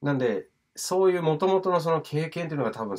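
The voice is a man's, fairly high in pitch. He speaks at a fairly quick pace against a quiet background. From Tokyo, Japan. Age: 30s. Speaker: English teacher and DJ; English teacher. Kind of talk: talking-head video monologue; lecture. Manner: casual with many fillers. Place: home room. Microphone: phone near.

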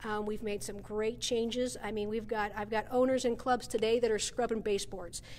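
The speech moves at a fairly quick pace with hardly any pauses, a monotone, flat intonation and light background noise. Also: woman, fairly high pitch for a woman. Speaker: gym operations manager. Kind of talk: casual interview. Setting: indoors at a gym, walking tour. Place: gym.

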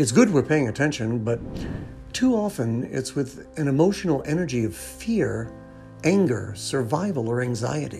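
Calm-toned man at a moderate pace, with music in the background. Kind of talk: inspirational voiceover narration. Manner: calm, reflective, encouraging.

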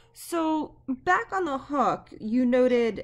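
Over noticeable background noise, a woman speaks in a high-pitched voice. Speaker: history professor. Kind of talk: oral history interview.

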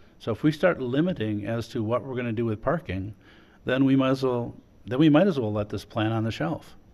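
This man has a normal speaking voice, a medium pitch and ordinary pitch variation. He talks at a fairly quick pace with an American accent. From Wisconsin. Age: 50s. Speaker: mayor chairing city council. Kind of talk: council meeting chairing. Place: meeting room. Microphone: podium.

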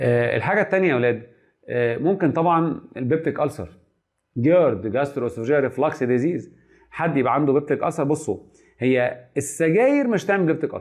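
Fairly quick, lively speech from a man with a fairly high pitch, over a quiet background. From Egypt. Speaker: medical lecturer. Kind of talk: lecture. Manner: animated. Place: classroom.

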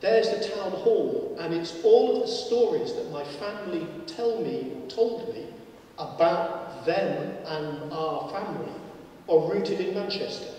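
A man talks at a fairly slow pace in a room with strong echo. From northern England. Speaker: professor and debate chair. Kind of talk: moderated public debate. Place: hall.

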